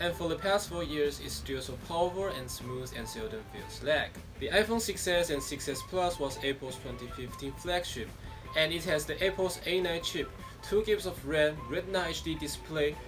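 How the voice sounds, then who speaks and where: Music plays behind a man with a Taiwanese accent. He talks at a moderate pace. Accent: Taiwanese Mandarin. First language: Mandarin. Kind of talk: tech review talk to camera.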